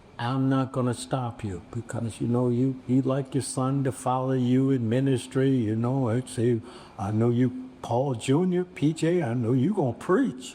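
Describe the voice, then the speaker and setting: A man speaks at a fairly slow pace, his pitch medium with ordinary variation. Noticeable background noise runs under the recording. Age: 70s. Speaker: bishop and pastor. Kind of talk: panel discussion.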